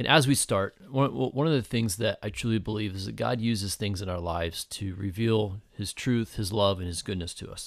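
Here is an ordinary speaking voice, a man's with a fairly low pitch and ordinary pitch variation, speaking with hardly any pauses on a very clean recording over a silent background. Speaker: prayer guide. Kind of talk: guided meditation. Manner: slow, calm, gentle pacing with pauses; soft-spoken, reverent.

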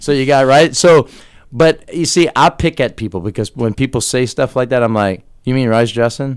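With an American accent, a man speaks at a medium pitch and moderate pace with ordinary pitch variation. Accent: Cajun-tinged south Louisiana English. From US South, Louisiana (Terrebonne Parish bayou). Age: 40s. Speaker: social media entertainer and DJ. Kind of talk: casual interview. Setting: radio studio.

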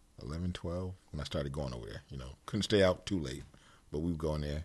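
At a fairly quick pace, a man speaks in a very deep, low pitch with ordinary pitch variation. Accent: American. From Connecticut, Bridgeport/Stratford area. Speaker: hip-hop producer and record dealer. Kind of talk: interview. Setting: studio.

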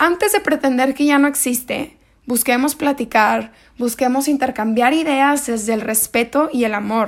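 This woman's voice is high-pitched and kept at a very even loudness. She speaks at a fairly slow pace. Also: ordinary pitch variation. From Mexico, Monterrey, Nuevo León. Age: 20s. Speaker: podcast host. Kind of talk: solo podcast monologue on philosophy.

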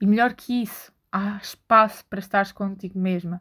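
A woman at medium pitch and moderate pace with a European Portuguese accent and fairly even intonation, in a very clean recording with a silent background. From Portugal. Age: 20s. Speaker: podcaster. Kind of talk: solo monologue.

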